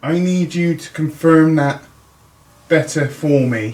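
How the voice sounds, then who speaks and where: A man speaks quietly at a fairly high pitch. His pace is very slow. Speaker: paranormal investigator. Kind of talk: ghost hunt narration. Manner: halting.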